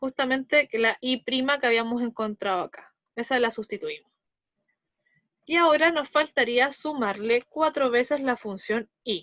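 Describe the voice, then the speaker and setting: A woman with a high pitch and ordinary pitch variation speaks at a fairly slow pace, her sound dry and close with no echo against a quiet background. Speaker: math teacher. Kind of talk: lecture.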